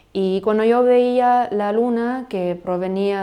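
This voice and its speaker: In a German accent, a woman speaks with a dark, mellow tone and fairly even intonation. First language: German (speaking Spanish). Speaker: language podcast host. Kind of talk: educational podcast monologue. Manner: halting, with repetitions.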